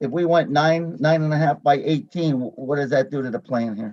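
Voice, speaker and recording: In a normal speaking voice, this man talks with a fairly high pitch and ordinary pitch variation. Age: 60s. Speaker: board chairman. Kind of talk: public meeting discussion. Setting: virtual meeting.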